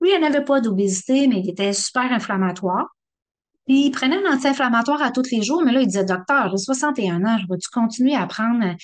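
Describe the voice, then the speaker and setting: A woman with a Quebec accent, high-pitched, animated and quick, her intonation lively. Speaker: rheumatologist giving a talk. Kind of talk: public lecture. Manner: animated, conversational.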